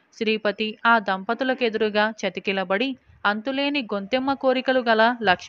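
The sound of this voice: An unforced reading voice with ordinary pitch variation.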